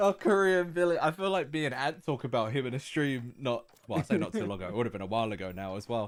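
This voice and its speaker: Very fast, fairly high-pitched talk from a man, with very wide pitch swings and music in the background. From outside Britain. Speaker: game studio stream host. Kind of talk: casual chat. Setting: live stream.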